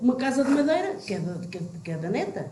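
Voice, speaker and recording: A woman with a high pitch speaks in an animated tone, her pitch swinging very widely. The room echo is audible, and there is noticeable background noise. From Portugal, Vale de Maceira village. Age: 60s. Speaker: village old friend reminiscing. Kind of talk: casual group reminiscing chat.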